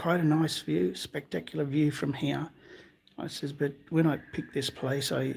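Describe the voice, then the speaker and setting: A soft-spoken, somewhat breathy man with an Australian accent, fairly high pitch, ordinary pitch variation and a moderate pace, on a very clean recording with a silent background. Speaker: amateur science vlogger. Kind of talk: live stream narration. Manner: halting.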